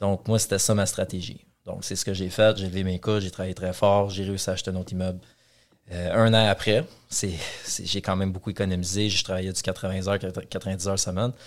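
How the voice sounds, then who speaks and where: A man with a very deep, low pitch at a fairly quick pace, in monotone, flat intonation. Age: 30s. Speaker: real estate investor and developer. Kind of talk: interview.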